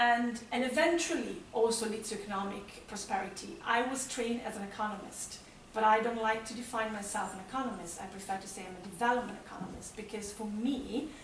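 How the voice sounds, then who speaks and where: A woman with an Italian accent, fairly quick and with hardly any pauses, big swings in loudness, audible room echo and noticeable background noise. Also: fairly high pitch for a woman, ordinary pitch variation. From Italy. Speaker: development economist. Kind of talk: conference presentation. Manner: hesitant, many fillers.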